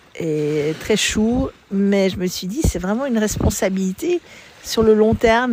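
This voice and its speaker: Noticeable background noise sits behind the recording. A woman speaks at a moderate pace and medium pitch. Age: 70s. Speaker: mother giving testimony. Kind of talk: interview testimony. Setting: outdoors by the sea. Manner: halting.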